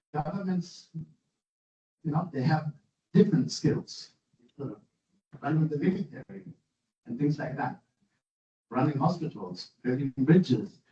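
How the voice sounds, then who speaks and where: A man talks with a fairly high pitch and a dark, mellow tone, his intonation lively. Long pauses come often. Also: moderate pace. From Germany. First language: German. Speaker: university professor. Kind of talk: lecture. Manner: halting.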